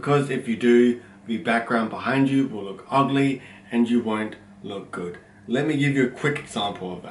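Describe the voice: A loud man at a medium pitch and moderate pace, with audible room echo. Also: ordinary pitch variation.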